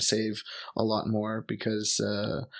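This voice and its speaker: Monotone and flat in delivery, a man with a Montreal accent talks at a fairly low pitch. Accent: Canadian English (Montreal anglophone). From Montreal, Quebec, Canada (English-speaking neighborhood). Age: 30s. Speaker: expat teacher and traveler. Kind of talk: casual chat. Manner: hesitant, many fillers.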